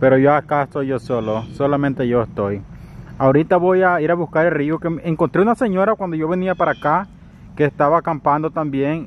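A man at a fairly quick pace with ordinary pitch variation, a dry sound with no echo and light background noise. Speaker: solo camping vlogger. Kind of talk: casual vlog chat. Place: forest. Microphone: phone near.

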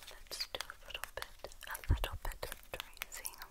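Whispering at a moderate pace, the voice has a gentle tone. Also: woman. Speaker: beauty ASMR creator. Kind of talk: soft-spoken ASMR chat. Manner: gentle close whisper. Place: home room.

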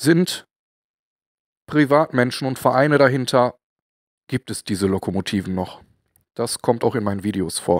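Lively intonation from a man of medium pitch at a moderate pace with long, frequent pauses, on a very clean recording with a silent background and a dry, close sound with no echo. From Ruhr area, Germany. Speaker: model-building and industrial-heritage video maker. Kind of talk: casual talk to camera.

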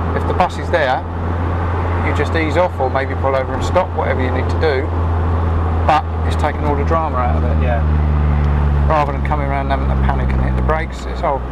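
Talking at a fairly quick pace, a man is heard through loud background noise. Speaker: driving instructor. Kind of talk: instructional commentary. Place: car. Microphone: lapel.

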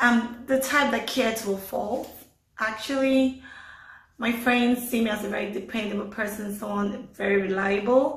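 In a Nigerian accent, a woman with a fairly high pitch speaks at a moderate pace and fairly even intonation, with audible room echo. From Lagos, Nigeria. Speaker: award recipient. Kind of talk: interview testimony. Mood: cheerful, smiling. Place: home room. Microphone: phone near.

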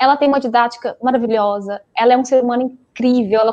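A woman's high-pitched voice moves at a fairly quick pace. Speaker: dentist and PhD student, guest lecturer; guest lecturer. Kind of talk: closing remarks of an online lecture. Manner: fast. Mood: warm, grateful. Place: home room. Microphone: earbuds.

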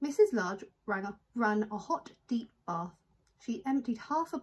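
A natural reading voice moves along with lively intonation.

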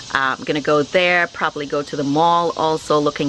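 A woman speaks at a moderate pace with a very deep, low pitch. The sound is dry with no echo, over light background noise. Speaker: family vlogger. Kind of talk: casual vlog chat. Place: garden. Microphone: phone near.

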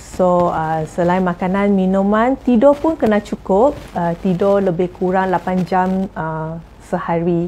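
A woman's dark, mellow voice at a very slow pace, over light background noise. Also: ordinary pitch variation. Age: 40s. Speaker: jamu herbal practitioner. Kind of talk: tips sharing to camera. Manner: halting, many fillers. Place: home room.

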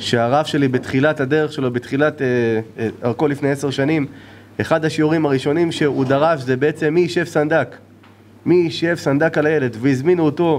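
At a fairly quick pace, a man speaks with very even loudness and fairly even intonation. Light background noise is present. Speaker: rabbi giving a talk. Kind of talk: sermon. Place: hall. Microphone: podium.

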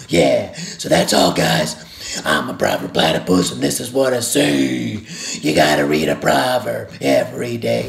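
Over clear background noise, a man does a cartoonish character voice at a moderate pace, his pitch very deep and low. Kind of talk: Bible devotional for kids. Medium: puppet. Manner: upbeat.

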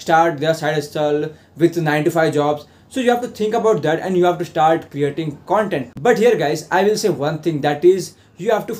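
The man's voice sits high, with ordinary pitch variation, and moves along at a moderate pace. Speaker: affiliate marketing vlogger. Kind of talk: tutorial. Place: home room.

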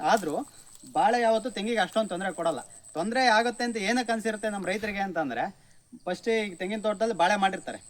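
A man with a high-pitched voice, ordinary pitch variation, and noticeable background noise. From Karnataka, Hassan district (Arsikere). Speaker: farmer. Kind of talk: farm tour explanation. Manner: casual, conversational.

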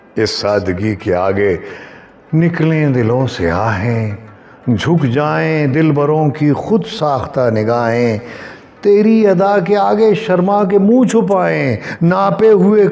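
The voice swings very widely in pitch while music plays in the background. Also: man. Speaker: poetry reciter. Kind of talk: poetry reading. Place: home room. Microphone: lapel.

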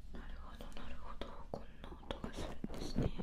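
A soft-spoken woman whispering. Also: moderate pace. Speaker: ASMR creator. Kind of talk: soft whispered ASMR talk. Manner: soft close whisper into ear mic. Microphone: studio mic.

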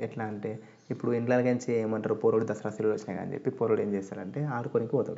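With fairly even intonation, this is a normal speaking voice. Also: man, medium pitch for a man. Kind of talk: podcast narration to listeners. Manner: casual, friendly.

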